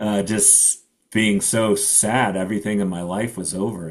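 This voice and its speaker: This is a very clean recording with a silent background. A man speaks in a fairly low pitch with an American accent. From Connecticut, US. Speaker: blind adventurer and mountaineer. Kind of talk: casual interview chat.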